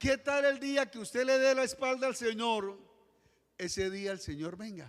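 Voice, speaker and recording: At a fairly slow pace, a man speaks with an extremely high pitch and ordinary pitch variation. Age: 60s. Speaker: pastor. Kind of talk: sermon.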